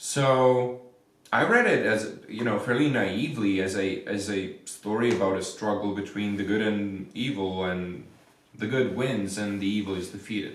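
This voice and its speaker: Amid noticeable background noise and audible room echo, a man with a Czech accent talks at a moderate pace, with a fairly low pitch and fairly even intonation. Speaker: vampire researcher. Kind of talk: interview answer.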